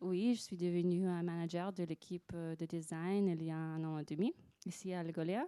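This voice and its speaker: A woman's voice with monotone, flat intonation. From Russia / United States. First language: Russian or English (speaking French). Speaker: design manager. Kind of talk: panel discussion. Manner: hesitant, searching for words.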